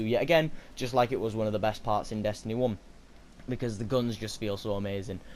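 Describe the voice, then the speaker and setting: The man's intonation is fairly even as he talks at a very fast pace. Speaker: gaming YouTuber. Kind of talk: video game review.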